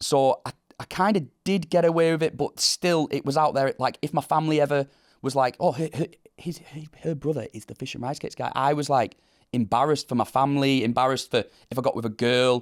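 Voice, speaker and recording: The speaker talks very fast with a northern English accent and ordinary pitch variation. The recording is very clean with a silent background, and the sound is dry and close with no echo. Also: man, fairly high pitch for a man. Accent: broad northern English. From northern England. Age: 30s. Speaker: viral meme subject. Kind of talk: interview. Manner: halting, many repetitions.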